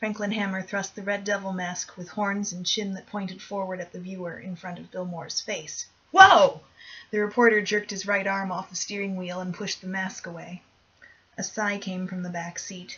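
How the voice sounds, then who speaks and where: Intonation stays fairly even at a moderate pace. Noticeable background noise runs behind it. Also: woman. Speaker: amateur audiobook reader. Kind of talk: horror short story reading.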